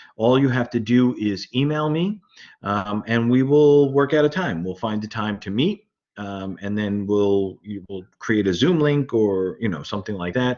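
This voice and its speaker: A man with a Brooklyn accent talks at a moderate pace, his intonation lively. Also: medium pitch for a man. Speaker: university lecturer. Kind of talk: lecture. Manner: halting, many fillers.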